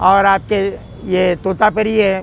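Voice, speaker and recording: High-pitched male speech with noticeable noise behind it. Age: 60s. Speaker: mango trader. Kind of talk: interview.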